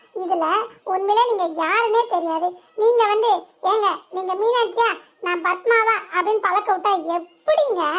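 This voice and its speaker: A woman speaks fairly slowly in a cartoonish character voice, pitched extremely high. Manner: exasperated, blunt.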